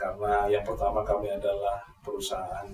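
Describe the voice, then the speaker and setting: Music plays in the background as a man talks with a Javanese accent. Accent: Javanese-sounding Indonesian. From East Java, Malang. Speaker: electricity company manager. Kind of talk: podcast interview. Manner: hesitant with frequent fillers.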